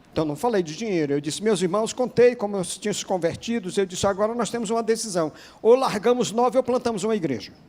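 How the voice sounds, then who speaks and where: A man's high voice at a very fast pace, with ordinary pitch variation and hardly any pauses. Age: 60s. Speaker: pastor. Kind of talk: sermon.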